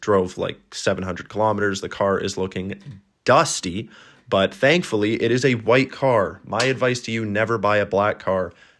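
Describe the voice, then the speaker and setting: A man in a Canadian accent with an ordinary speaking voice, fairly low pitch, ordinary pitch variation and a moderate pace in a very clean recording with a silent background. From Canada. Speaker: travel vlogger. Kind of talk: vlog narration. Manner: casual.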